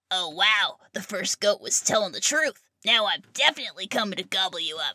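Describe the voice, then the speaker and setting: A put-on character voice that sounds female, fairly high in pitch, moves at a fairly quick pace. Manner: roaring, greedy.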